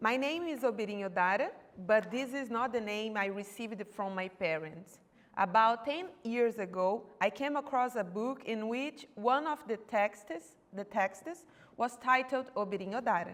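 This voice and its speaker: Lively intonation carries a woman's voice with a Brazilian accent. She has a fairly high pitch and talks at a moderate pace. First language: Portuguese. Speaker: doctoral researcher. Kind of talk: academic seminar presentation. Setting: university seminar room. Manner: halting, with self-corrections.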